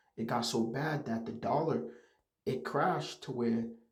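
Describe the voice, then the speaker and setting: A man with vocal fry speaks at a moderate pace, and audible room echo surrounds his voice. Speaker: religious teacher. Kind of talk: religious lesson. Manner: halting.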